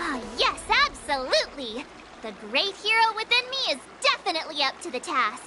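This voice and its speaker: Over loud background noise, a woman in a put-on character voice speaks at a moderate pace with an extremely high pitch and very wide pitch swings. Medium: fan dub. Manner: excitable, stammering.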